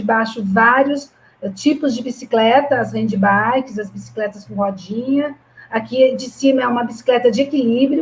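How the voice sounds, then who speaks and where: Using an unremarkable speaking voice, a woman with a fairly high pitch talks at a moderate pace with fairly even intonation. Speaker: physical education professor. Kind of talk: online presentation. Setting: online live stream with sign language interpreter.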